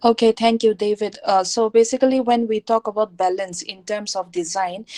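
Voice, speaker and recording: Dry and close with no echo, a woman speaks in a plain, everyday voice. She has ordinary pitch variation and a moderate pace. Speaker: teacher. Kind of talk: online lecture.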